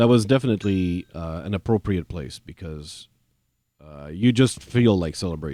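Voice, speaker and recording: With a very deep, low pitch and a dark, mellow tone, a man speaks with lively intonation, big swings in loudness and long, frequent pauses. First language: not English. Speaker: gaming video creator. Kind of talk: gameplay commentary. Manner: halting, many fillers and restarts; casual, chatty.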